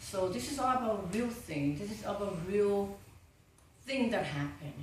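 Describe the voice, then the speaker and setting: Recorded with audible room echo and noticeable background noise, a woman speaks with a Vietnamese accent. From Vietnam (Ha Long Bay). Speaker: film producer. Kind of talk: interview. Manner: halting.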